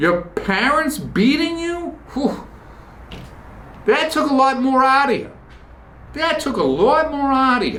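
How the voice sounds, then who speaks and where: A man with a Boston accent speaks in an animated tone, with audible room echo. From US Northeast, Boston. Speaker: podcast host. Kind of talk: casual monologue.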